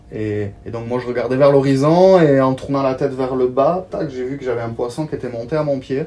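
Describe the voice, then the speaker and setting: The speaker talks at a fairly quick pace with fairly even intonation. Noticeable background noise can be heard. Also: man, medium pitch for a man. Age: 30s. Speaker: videographer and photographer. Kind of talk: casual interview. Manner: hesitant, many fillers.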